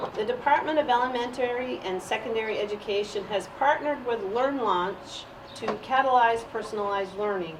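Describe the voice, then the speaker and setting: A woman's fairly high voice at a fairly quick pace, with noticeable background noise and audible room echo. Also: ordinary pitch variation. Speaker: parent giving public comment. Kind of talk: public comment at meeting. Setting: school committee meeting, recorded.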